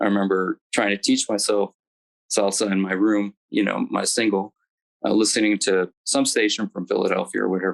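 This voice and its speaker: An American accent from a man, moderately paced, recorded dry and close with no echo. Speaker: alumnus panelist, engineer. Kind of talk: panel reminiscence. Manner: hesitant, many fillers.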